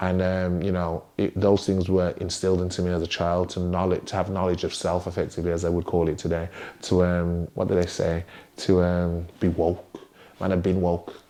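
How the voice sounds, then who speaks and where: In an English accent, a man speaks at a very deep, low pitch with monotone, flat intonation. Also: moderate pace. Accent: English accent noticed by Americans. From West Midlands, England (Wolverhampton). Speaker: DJ and music artist. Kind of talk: interview. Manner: hesitant, many fillers.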